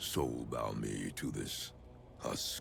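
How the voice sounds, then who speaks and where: Clear background noise runs beneath a put-on character voice. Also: man. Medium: video game. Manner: grave, imposing.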